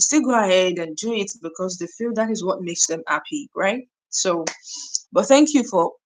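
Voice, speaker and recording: Speaking at a moderate pace with lively intonation, a woman with a medium-pitched voice talks in a Nigerian accent. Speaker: YouTuber. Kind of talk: live stream chat. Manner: conversational, with many fillers.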